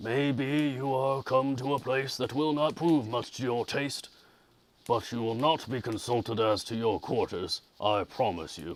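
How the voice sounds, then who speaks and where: A man puts on a gruff character voice at medium pitch and a moderate pace. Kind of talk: formal, old-fashioned. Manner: rude, curt.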